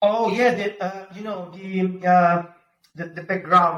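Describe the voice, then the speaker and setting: With a strong Italian accent, a man speaks at a moderate pace in a high pitch with ordinary pitch variation. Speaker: pizza-making YouTuber. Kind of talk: podcast interview. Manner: halting, many fillers; talks with his hands.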